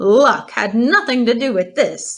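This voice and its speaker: A woman puts on a character voice pitched high. She speaks at a fairly slow pace. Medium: read story. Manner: repeats words, bows shamelessly.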